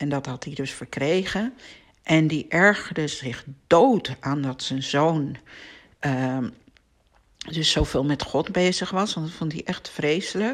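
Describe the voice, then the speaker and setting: Speaking at a very slow pace, a woman with a very deep, low pitch uses lively intonation and long, frequent pauses. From Amsterdam, Netherlands. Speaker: podcast host, spiritual teacher. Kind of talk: personal monologue. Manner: hesitant with filler words.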